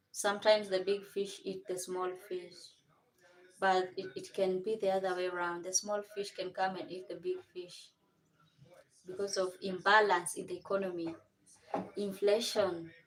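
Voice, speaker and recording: A woman's medium-pitched voice with a Kenyan accent, flat monotone delivery, moderate pace and long, frequent pauses. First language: Kenyan mother tongue. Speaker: vlogger. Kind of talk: casual livestream chat. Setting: home kitchen livestream.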